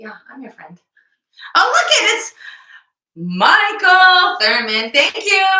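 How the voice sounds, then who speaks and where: A woman projects her voice at an extremely high pitch, with very wide pitch swings and big shifts in loudness. She talks very slowly and leaves long, frequent pauses. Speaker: CrossFit gym podcast co-host. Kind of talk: casual chat. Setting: live stream video.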